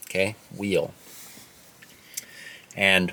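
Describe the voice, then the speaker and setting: A man at a very slow pace amid noticeable background noise. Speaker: English teacher. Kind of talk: educational talk to camera for English learners. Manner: slow, clear.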